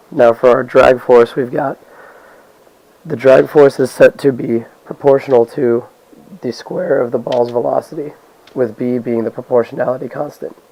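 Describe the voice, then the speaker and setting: Over noticeable background noise, a man speaks in a monotone, flat intonation with long, frequent pauses. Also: medium pitch for a man, moderate pace. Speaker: physics student. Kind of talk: lab report narration.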